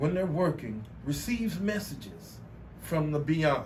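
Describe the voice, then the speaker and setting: Audible room echo surrounds a man with an American accent, a fairly high pitch and vocal fry. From Texas, Beaumont. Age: 50s. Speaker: artist. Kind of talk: interview. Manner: halting, with many repetitions.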